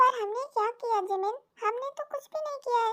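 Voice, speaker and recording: A woman in a put-on character voice, extremely high-pitched, at a fairly quick pace. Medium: read story. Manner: formal, humble "hum" self-reference.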